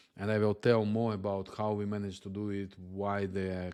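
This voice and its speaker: A man speaks with a non-native accent at a moderate pace. His intonation is flat and monotone. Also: very clean recording, silent background. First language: not English. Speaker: software agency founder. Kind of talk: channel introduction monologue. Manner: halting, many fillers.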